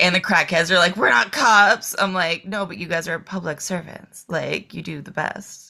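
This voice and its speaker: With an American accent, a woman uses an ordinary speaking voice at a moderate pace, fairly low in pitch with ordinary pitch variation, hardly any pauses and big swings in loudness. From eastern Massachusetts, Boston area. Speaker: adult film performer and filmmaker. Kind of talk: casual chat.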